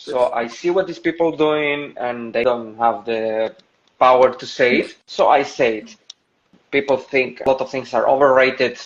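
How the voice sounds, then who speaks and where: A man's medium-pitched voice with a Spanish accent, fairly even intonation and a moderate pace. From Spain, Seville. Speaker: stand-up comedian. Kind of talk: interview. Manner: halting.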